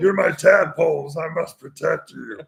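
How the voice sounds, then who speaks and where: At a moderate pace, a man performs a put-on character voice in a high pitch. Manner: nice words delivered aggressively.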